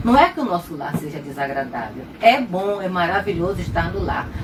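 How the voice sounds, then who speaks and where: A woman's pitch swings very widely as she talks at a moderate pace, with noticeable noise behind her. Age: 70s. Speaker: retired pediatrician. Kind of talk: testimony.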